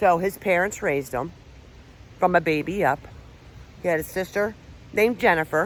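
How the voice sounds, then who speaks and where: With a Philadelphia accent, a woman speaks at a moderate pace in a fairly low pitch, with ordinary pitch variation and long, frequent pauses. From Pennsylvania, Philadelphia area. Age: 50s. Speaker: paranormal investigator and vlogger. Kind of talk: casual vlog storytelling. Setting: outdoors on a hiking trail. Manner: loud.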